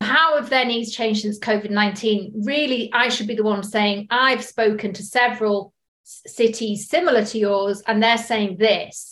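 A woman with a British accent, fairly high pitch and fairly even intonation, at a moderate pace with hardly any pauses and big swings in loudness. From UK. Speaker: sales director. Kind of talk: podcast interview.

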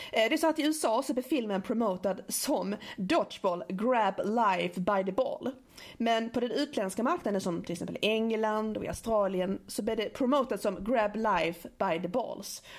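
At a moderate pace, a woman with a Scanian accent talks in a fairly high pitch with lively intonation. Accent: Scanian Swedish. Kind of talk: casual chat. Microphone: small portable recorder with clip-on mic, more room echo.

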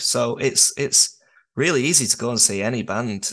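A man speaks with a northern English accent. He keeps a moderate pace. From northern England. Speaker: musician. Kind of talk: casual chat.

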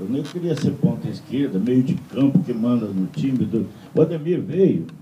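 Male speech with clear reverberation from the room and a fair amount of surrounding noise. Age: old. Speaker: TV presenter. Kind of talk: casual chat.

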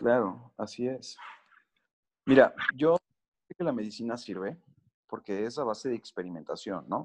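Lively in intonation yet fairly slow with long, frequent pauses, a man at a medium pitch is heard in a dry, close sound with no echo. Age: 30s. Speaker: cancer survivor sharing his recovery story. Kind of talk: podcast interview.

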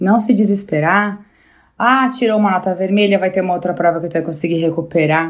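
A woman with an ordinary speaking voice of medium pitch, ordinary pitch variation and a moderate pace. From Rio Grande do Sul, Brazil (Bento Gonçalves). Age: 30s. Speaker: motivational contributor. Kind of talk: personal talk.

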